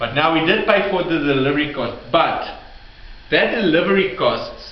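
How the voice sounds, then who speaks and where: A man speaks at a fairly slow pace with ordinary pitch variation, with audible room echo and noticeable background noise. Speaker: bookkeeping tutor. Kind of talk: tutorial. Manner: halting, self-correcting.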